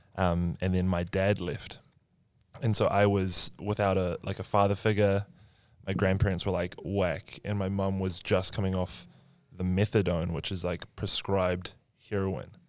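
The speaker has a New Zealand accent and a moderate pace. Intonation stays monotone and flat. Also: man, very deep, low pitch for a man. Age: 20s. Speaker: marketing worker. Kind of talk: casual chat.

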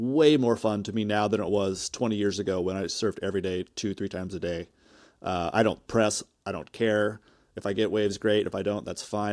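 With an unremarkable speaking voice, a man talks at a fairly quick pace with fairly low pitch and fairly even intonation on a very clean recording with a silent background. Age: 40s. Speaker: senior editor, surfer. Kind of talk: casual chat.

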